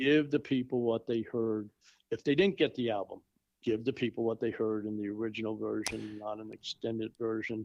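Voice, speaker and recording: A man with a plain, everyday voice talks at a fairly quick pace and medium pitch with fairly even intonation, his dry, close sound free of echo against a quiet background. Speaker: tribute show organizer and performer. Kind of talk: casual chat.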